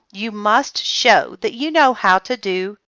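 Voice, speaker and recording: This is a put-on character voice with a growl. The pace is fairly slow. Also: female-sounding voice, fairly high pitch for a woman. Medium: read story. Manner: calm, gentle.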